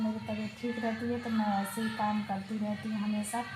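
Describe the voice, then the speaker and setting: A woman with a fairly high pitch speaks at a moderate pace in a monotone, flat intonation. Music plays in the background, and the room echo is audible. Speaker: vlogger. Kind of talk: casual vlog chat. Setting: at home doing chores. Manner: soft.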